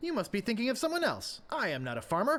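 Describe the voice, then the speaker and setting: Someone rattles along at a very fast pace in a put-on character voice with a fairly high pitch. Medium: video game. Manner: earnest, slightly awkward.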